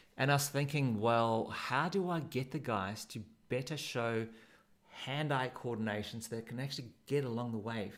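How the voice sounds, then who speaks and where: A man with a South African accent, medium-pitched, at a moderate pace with ordinary pitch variation. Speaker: surf coach. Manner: casual, laughs often.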